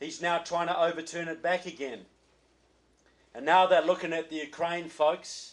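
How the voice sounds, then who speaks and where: The words come at a moderate speed. They carry a New Zealand accent. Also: man. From New Zealand, Christchurch. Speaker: political author and speaker. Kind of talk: political speech. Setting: reception with audience.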